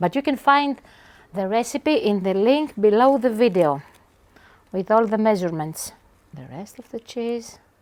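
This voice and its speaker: A woman with a Greek accent speaks at a fairly high pitch with very wide pitch swings. She pauses long and often. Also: moderate pace, big swings in loudness. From Greece, Aegean islands. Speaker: chef. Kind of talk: cooking tutorial. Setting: home kitchen. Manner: animated.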